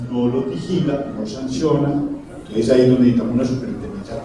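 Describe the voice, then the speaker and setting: The speech comes at a fairly quick pace. Audible room echo and noticeable background noise are present. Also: man. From Colombia, Medellín (paisa). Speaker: health professionals' association president. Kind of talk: panel discussion.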